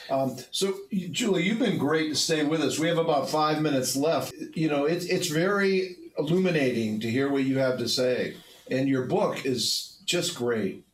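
A man's fairly high voice with lively intonation, moderate pace and very even loudness, over noticeable background noise. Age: 70s. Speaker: podcast host. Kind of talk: casual chat. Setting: studio.

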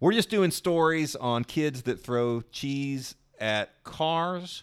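The recording is very clean with a silent background. A man speaks very slowly with lively intonation. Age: 40s. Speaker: newsletter founder and editor. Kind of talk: interview conversation.

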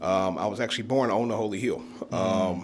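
In an American accent, a man with a low voice speaks at a fairly quick pace. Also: ordinary pitch variation.

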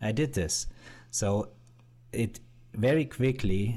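A man speaks in a German accent with a dark, mellow tone. His pitch makes very wide swings. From Bavaria, Germany. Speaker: YouTuber and entrepreneur. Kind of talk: interview. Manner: loud.

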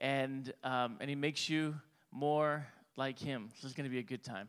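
In a very clean recording with a silent background, an unremarkable speaking voice proceeds at a moderate pace. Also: man. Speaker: lead pastor. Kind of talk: church announcements and introduction. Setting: church.

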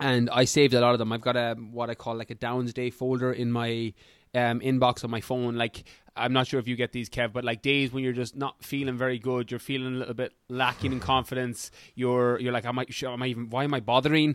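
In a dry, close recording with no echo, a man with an Irish accent talks at a fairly quick pace, his medium-pitched voice enthusiastic and animated. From Ireland. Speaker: fitness coach and podcaster. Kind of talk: casual interview chat. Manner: enthusiastic, animated.

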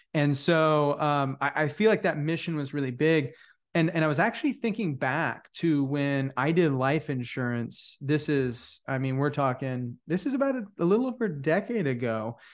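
Against a quiet background, a man with an ordinary speaking voice and fairly high pitch talks at a moderate pace with lively intonation. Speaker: podcast host. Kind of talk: casual interview chat. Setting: in person, recorded at an event.

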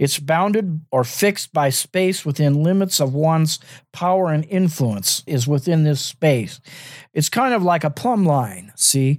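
A man speaks fairly slowly in a fairly high voice with lively intonation and very even loudness. It is a normal speaking voice on a very clean recording with a silent background. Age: 60s. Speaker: podcast host and minister. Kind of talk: teaching monologue.

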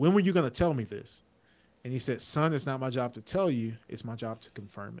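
Over a quiet background, a man with a plain, everyday voice talks at a fairly quick pace in a medium pitch, with lively intonation and big swings in loudness. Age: 20s. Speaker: business consultant and former college football player. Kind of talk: casual interview.

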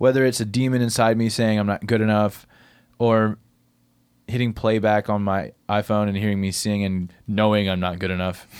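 A man's fairly low voice in an American accent, monotone and flat. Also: moderate pace, very clean recording, silent background. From Middle Tennessee, US South (small country town). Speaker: singer-songwriter and recording artist. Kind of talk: casual interview chat. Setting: recording studio.

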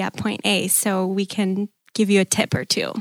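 With a Wisconsin accent, a woman speaks at a fairly slow pace in a flat monotone at medium pitch, in a very clean recording with a silent background and a dry, close sound with no echo. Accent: Upper Midwest (Wisconsin). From Green Bay, Wisconsin. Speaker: church member, newlywed. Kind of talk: casual interview.

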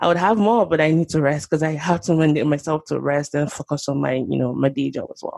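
At a very fast pace, a woman with a very deep, low pitch speaks with ordinary pitch variation. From Nigeria, Lagos. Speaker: pharmacy professor and podcaster. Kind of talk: interview conversation.

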